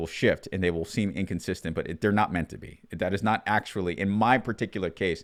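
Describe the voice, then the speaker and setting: Very deep, low male voice with ordinary pitch variation, on a very clean recording with a silent background. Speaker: commentator, military veteran. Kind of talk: monologue commentary, freestyled. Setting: abroad in Europe, self-recorded video. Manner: halting, with false starts.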